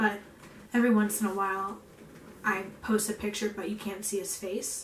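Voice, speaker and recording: Moderate-paced, monotone, flat speech from a woman over noticeable background noise. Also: medium pitch for a woman. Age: 20s. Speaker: stay-at-home mom and vlogger. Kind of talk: casual vlog chat.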